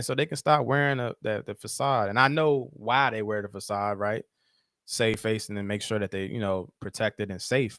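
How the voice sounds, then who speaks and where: Over a silent background in a very clean recording, a man with an American accent talks at a moderate pace, his medium pitch showing ordinary variation, the sound dry and close with no echo. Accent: country twang. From Virginia, Caroline County. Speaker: social worker and professor. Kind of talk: casual interview. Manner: slightly slurred words.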